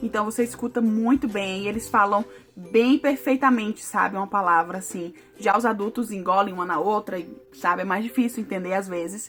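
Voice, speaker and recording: Over music in the background, a woman talks in an animated tone at a moderate pace, her medium pitch showing ordinary variation. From Brazil. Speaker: vlogger. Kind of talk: casual vlog talk to camera.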